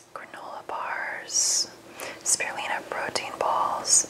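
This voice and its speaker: A woman whispers over noticeable background noise. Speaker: nutritionist and ASMR creator. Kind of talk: ASMR cookbook review, whispered relaxation talk.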